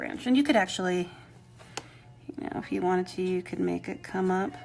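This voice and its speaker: Over music in the background, a woman at medium pitch speaks at a fairly quick pace. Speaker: rock painting instructor. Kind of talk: live painting tutorial. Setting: live stream. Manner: mumbling, quieter than usual; casual, chatty.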